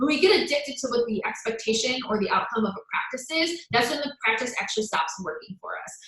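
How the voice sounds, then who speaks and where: The woman's tone is animated, her intonation lively. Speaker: self-love coach. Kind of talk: live stream talk. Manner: fast.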